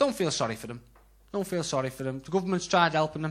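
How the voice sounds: A man with a Scouse accent, fairly high-pitched, with vocal fry and lively intonation. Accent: Scouse, Liverpool.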